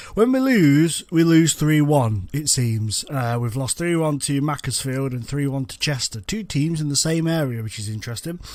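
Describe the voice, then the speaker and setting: This man has an English accent and lively intonation. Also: very clean recording, silent background. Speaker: gaming youtuber. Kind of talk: gameplay commentary. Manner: casual, chatty.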